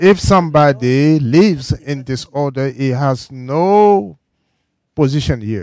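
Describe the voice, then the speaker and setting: With lively intonation, a man speaks at a very slow pace, the sound dry with no echo and the background quiet. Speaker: church sermon interpreter. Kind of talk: sermon. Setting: church. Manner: halting. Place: church. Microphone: podium.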